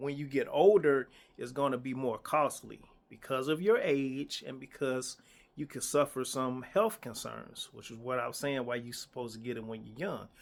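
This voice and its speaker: In a plain, everyday voice, a man talks at medium pitch and moderate pace, with ordinary pitch variation and big swings in loudness. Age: 50s. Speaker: insurance agent. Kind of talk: casual talk to camera. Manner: conversational, repetitive.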